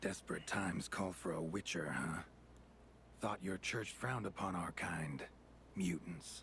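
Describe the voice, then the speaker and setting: Speaking at a moderate pace with long, frequent pauses, a man uses a put-on character voice with a very deep, low pitch over clear background noise. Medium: video game. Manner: terse, dry, low-key.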